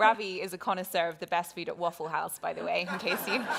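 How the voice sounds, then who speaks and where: Against noticeable background noise, a woman with a British accent and medium pitch talks at a very fast pace with fairly even intonation. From Britain. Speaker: interviewer. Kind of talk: interview.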